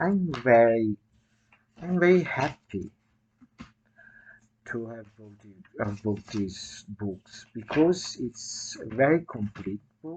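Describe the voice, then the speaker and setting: The speech moves at a very slow pace. Long pauses come often. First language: Italian. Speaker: writer and video blogger. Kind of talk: casual talk to camera. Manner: halting, many fillers.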